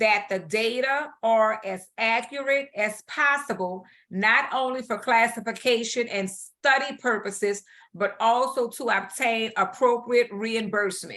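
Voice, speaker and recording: Speaking at a fairly slow pace over a quiet background, a woman with a fairly high pitch has a bright, sharp tone and ordinary pitch variation. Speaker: instructor. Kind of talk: online class review session. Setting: video call. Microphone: video call.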